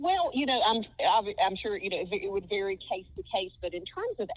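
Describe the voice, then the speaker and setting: Lively intonation runs through this voice with a Southern US accent. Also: woman. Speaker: film historian. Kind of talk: podcast interview.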